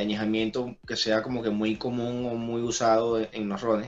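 Music plays in the background as a man speaks with a Venezuelan accent. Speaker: podcast co-host. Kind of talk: casual chat over drinks.

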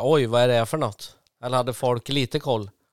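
Fairly even intonation and a medium pitch mark this man's ordinary speaking voice, heard in a very clean recording with a silent background. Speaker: local podcast host. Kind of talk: casual interview.

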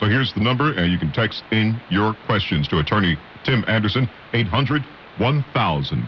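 Over noticeable background noise, a man with a fairly low pitch makes very wide pitch swings. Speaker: radio co-host. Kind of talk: radio talk show. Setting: radio studio.

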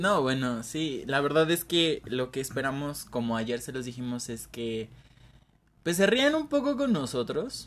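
A man's normal speaking voice, fairly high in pitch, with ordinary pitch variation and a fairly slow pace. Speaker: podcast co-host. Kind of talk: casual chat.

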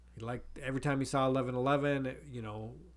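With an American accent, a man speaks at a medium pitch with ordinary pitch variation. Audible room echo surrounds the voice. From US Midwest, North Dakota. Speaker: podcast co-host, father. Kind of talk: casual chat.

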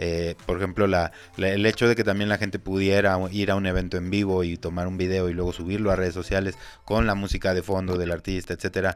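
The man's pitch is very deep and low. He talks very fast in a flat monotone. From Mexico. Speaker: podcast host. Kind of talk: casual interview.

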